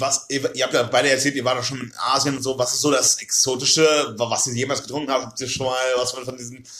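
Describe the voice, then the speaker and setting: A man at medium pitch, monotone and flat, at a fairly quick pace with hardly any pauses, over noticeable background noise. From Oldenburg, northern Germany. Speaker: podcast guest, student. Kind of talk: casual chat.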